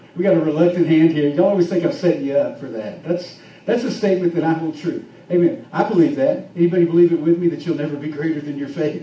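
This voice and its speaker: A man's high-pitched voice at a very fast pace, with lively intonation and audible room echo. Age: 50s. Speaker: pastor. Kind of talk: sermon.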